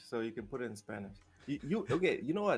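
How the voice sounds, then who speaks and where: Music plays behind a man whose fairly high voice makes very wide pitch swings. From southern Africa (Zimbabwe, South Africa). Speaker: gaming podcast host. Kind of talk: casual chat. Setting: live stream. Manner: halting, many repeated words.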